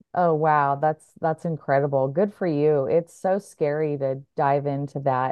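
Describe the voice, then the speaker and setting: A woman with an American accent, her very deep, low pitch carried on fairly even intonation. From Oregon, US. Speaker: breathwork coach. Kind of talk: interview. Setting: video call.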